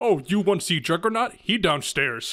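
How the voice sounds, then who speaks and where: Putting on a character voice, a man speaks in a high pitch with very wide pitch swings. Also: moderate pace. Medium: actual play. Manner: broken grammar, simple words.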